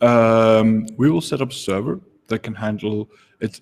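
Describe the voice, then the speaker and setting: A man with a non-native accent, medium pitch, and a moderate pace. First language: not English. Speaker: game jam organizer. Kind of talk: livestream talk. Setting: live broadcast from home. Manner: hesitant, many fillers. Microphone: echo.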